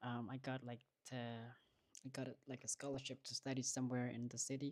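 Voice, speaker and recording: A woman with a very deep, low pitch and a dark, mellow tone speaks at a fairly slow pace. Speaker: vlogger. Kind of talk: livestream casual talk. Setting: livestream at home studio. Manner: halting, many fillers.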